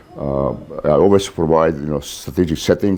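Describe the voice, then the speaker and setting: Over noticeable background noise, a man with a non-native accent speaks at a moderate pace in a very deep, low pitch with fairly even intonation. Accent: foreign. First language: not English. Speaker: author and naval warfare lecturer. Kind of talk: lecture. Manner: halting, many fillers.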